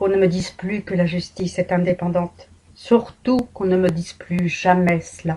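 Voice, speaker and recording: This woman speaks at a moderate pace with medium pitch and fairly even intonation. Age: 60s. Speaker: patient and vlogger. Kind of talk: personal testimony. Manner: emotional, emphatic.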